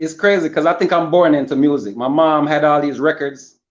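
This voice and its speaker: Fairly high in pitch, a man talks at a fairly quick pace with a Jamaican accent. His pitch varies in an ordinary way. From Jamaica, Spanish Town, Saint Catherine. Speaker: rapper. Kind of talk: interview. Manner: casual, friendly.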